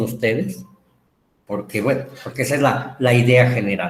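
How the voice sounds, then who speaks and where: A man's somewhat breathy voice, with room echo clearly audible. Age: 60s. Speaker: teacher. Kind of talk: lecture.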